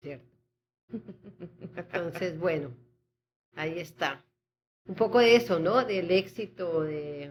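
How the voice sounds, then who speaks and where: At a very slow pace, a woman speaks in a fairly low pitch, leaving long, frequent pauses. Her loudness swings widely. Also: lively intonation. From Colombia. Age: 60s. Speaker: poet. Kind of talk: radio interview.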